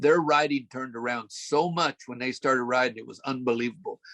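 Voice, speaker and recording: A man's medium-pitched voice with vocal fry at a fairly quick pace, dry and close with no echo. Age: 70s. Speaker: bull riding coach. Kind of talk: casual interview. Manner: halting, many fillers.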